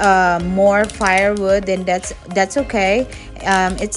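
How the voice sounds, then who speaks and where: A woman talks fairly slowly. Music sounds faintly behind her. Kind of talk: cooking tutorial vlog. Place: garden. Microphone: phone near.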